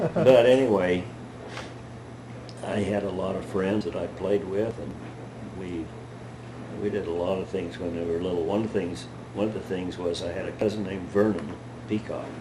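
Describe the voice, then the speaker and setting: Over noticeable background noise and audible room echo, a man with a very deep, low pitch talks at a moderate pace with fairly even intonation and long, frequent pauses. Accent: American. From Utah, Emery County. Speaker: great-grandfather telling life stories. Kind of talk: family storytelling interview. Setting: at home with family.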